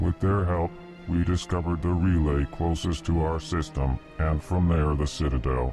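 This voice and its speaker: A put-on male character voice, very deep and low, over clear background music. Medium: video game. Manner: slow, formal, prefaces lines with emotion labels.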